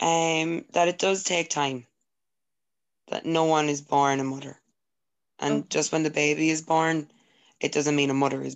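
Pitched very deep and low for a woman, her voice stays monotone and flat, broken by long, frequent pauses. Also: moderate pace. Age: 20s. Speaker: young mother. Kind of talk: casual chat.

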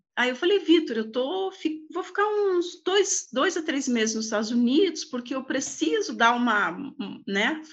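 A woman with a high pitch speaks at a fairly slow pace, her voice rising and falling in very wide pitch swings. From Brazil, Paraná (Lapa region). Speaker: angel investor, former executive. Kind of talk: casual interview. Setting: video call.

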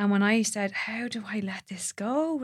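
A woman speaks at a medium pitch with an Irish accent, recorded very cleanly against a silent background. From Ireland. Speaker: doula and women's ceremony facilitator. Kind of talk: casual chat.

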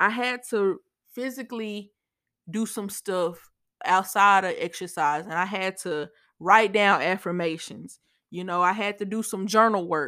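In a very clean recording with a silent background, a woman speaks at a fairly slow pace with a medium pitch, an animated delivery and a bright, sharp tone. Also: ordinary pitch variation. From Louisiana, Shreveport. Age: 20s. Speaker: podcast host. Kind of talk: casual solo podcast monologue. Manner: repetitive stammering.

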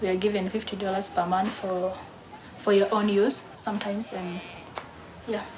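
A woman speaks at a fairly slow pace with long, frequent pauses, her medium-pitched voice held in a monotone, flat intonation. Noticeable background noise and audible room echo surround her. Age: 20s. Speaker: refugee athlete. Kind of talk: interview.

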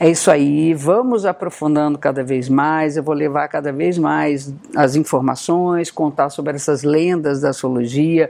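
A woman with a very deep, low pitch speaks at a fairly slow pace. She has ordinary pitch variation and hardly any pauses. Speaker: astrologer. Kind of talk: talking-head video.

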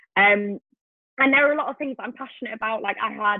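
A woman's fairly high-pitched voice with a Welsh accent. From Wales. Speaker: medical student and YouTuber. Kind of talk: interview.

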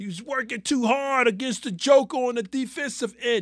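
A man's bright, sharp voice with a New York accent, fairly slow and with ordinary pitch variation, in a very clean recording with a silent background. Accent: New York City. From New York City. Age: 50s. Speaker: sports podcast host. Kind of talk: solo sports commentary.

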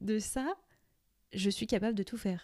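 On a very clean recording with a silent background, a woman with a fairly high pitch and a dark, mellow tone speaks at a fairly slow pace with ordinary pitch variation. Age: 20s. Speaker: podcaster. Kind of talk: casual monologue. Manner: hesitant, many fillers.

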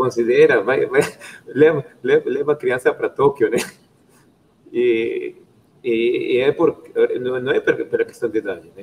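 Pausing long and often, a man speaks at a very slow pace with big swings in loudness. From Peru. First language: Spanish (speaking Portuguese). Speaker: viewer. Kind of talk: casual chat. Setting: video call at work. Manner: halting.

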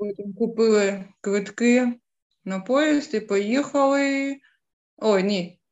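With a Ukrainian accent, a woman talks at a very slow pace and ordinary pitch variation. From Ukraine, Dnipro. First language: Ukrainian (speaking German). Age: 30s. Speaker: war refugee. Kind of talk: interview testimony.

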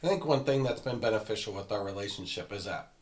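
Here a man talks at a fairly quick pace in a fairly low pitch. He has a plain, everyday voice. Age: 40s. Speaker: married guest sharing marriage advice. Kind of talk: casual chat.

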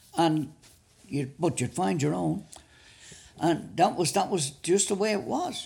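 With a Dublin accent and vocal fry, a man speaks at a fairly slow pace and fairly high pitch, his pitch swinging very widely between long, frequent pauses. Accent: Dublin Irish. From Dublin, Ireland. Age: 70s. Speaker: retired footballer. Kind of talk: casual interview reminiscing.

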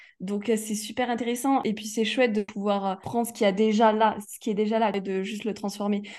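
A woman speaks at a fairly quick pace with hardly any pauses, her pitch fairly high. Her intonation is monotone and flat, with big swings in loudness. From Provence, southern France. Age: 20s. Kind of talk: interview. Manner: hesitant, many fillers.

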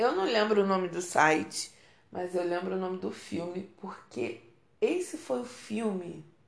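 Animated and lively in intonation, a woman with a medium pitch speaks at a fairly slow pace in a room with audible echo. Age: 30s. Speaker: podcast host. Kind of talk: casual monologue.

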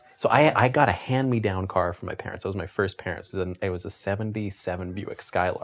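With a Canadian accent, a man talks at a very fast pace with hardly any pauses, at a fairly low pitch with ordinary pitch variation, over noticeable background noise. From Canada. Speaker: podcast co-host and illustrator. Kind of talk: casual chat.

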